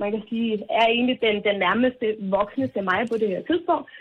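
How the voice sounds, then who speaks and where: A woman with an unremarkable speaking voice, fairly high pitch and ordinary pitch variation. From Denmark, Falster. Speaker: radio caller. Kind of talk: phone-in chat. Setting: phone call.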